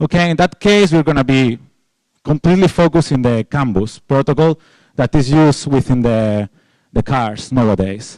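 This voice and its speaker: Speaking with a Spanish accent, a man uses a fairly high pitch and lively intonation at a moderate pace, his loudness very even and the sound dry and close with no echo. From Spain. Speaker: security researcher, conference speaker. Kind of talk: conference talk. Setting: stage with audience. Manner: informal, halting with fillers.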